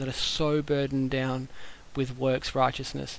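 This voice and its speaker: Speaking in an Australian accent, a man uses a fairly high pitch and monotone, flat intonation at a moderate pace. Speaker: podcast listener. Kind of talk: voicemail message. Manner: casual, hesitant with fillers.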